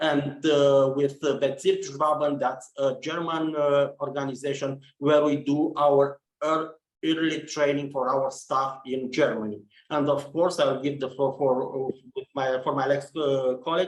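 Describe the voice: A man at a fairly slow pace with fairly even intonation and audible room echo. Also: medium pitch for a man.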